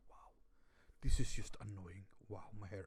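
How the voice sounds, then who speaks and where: A man with a Swedish accent, animated in tone, at a moderate pace and with very wide pitch swings. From Sweden. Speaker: reaction video youtuber. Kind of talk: casual reaction commentary. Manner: animated, halting.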